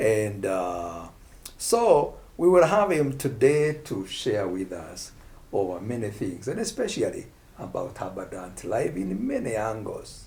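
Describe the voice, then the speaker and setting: Audible room echo surrounds a man as he talks at a fairly slow pace. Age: 60s. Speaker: pastor. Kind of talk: casual chat.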